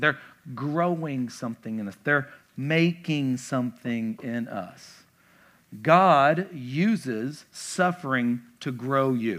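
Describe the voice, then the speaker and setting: In a Kentucky accent, a man talks in a fairly high pitch with very wide pitch swings. The recording is very clean, with a silent background. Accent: Southern US (Kentucky). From Kentucky, small town. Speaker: pastor. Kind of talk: casual, conversational church sermon, verse-by-verse teaching with asides. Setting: church stage with congregation. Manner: animated, chatty, with filler words and repeated stammered starts; emphatic repetition of key points.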